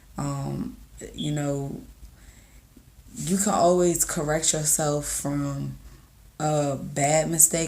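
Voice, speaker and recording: A woman speaks with a very deep, low pitch and fairly even intonation. Audible room echo surrounds her voice. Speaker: content creator vlogger. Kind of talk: casual motivational vlog. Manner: casual, halting with fillers.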